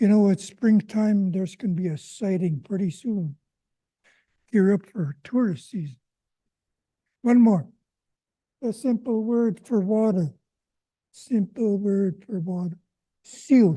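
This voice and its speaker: With long, frequent pauses, a man speaks fairly slowly in a high pitch and a dark, mellow tone, his pitch varying in an ordinary way. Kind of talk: public talk at a town hall. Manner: animated.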